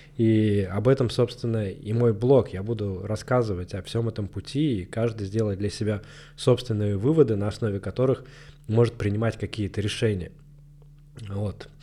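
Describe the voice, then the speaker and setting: A man's fairly low, dark, mellow voice at a moderate pace, with fairly even intonation. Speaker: marketing manager and blogger. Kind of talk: solo monologue podcast. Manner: casual, slangy.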